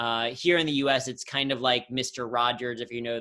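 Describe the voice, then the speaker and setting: With a Midwestern US accent, the speaker goes at a moderate pace in a bright, sharp tone. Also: man. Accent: General American, Midwestern. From Ohio, US Midwest. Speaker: humor and workplace speaker. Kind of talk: interview on video call. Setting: video call.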